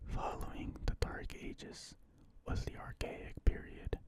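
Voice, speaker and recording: Someone whispers over noticeable background noise. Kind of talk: ASMR reading of an encyclopedia article. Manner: whispered, soft-spoken.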